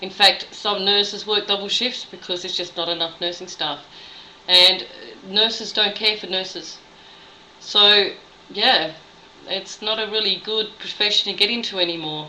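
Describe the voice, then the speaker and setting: A woman of medium pitch speaks at a moderate pace with an Australian accent, fairly even intonation and long, frequent pauses over noticeable background noise. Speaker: nurse. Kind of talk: video blog monologue.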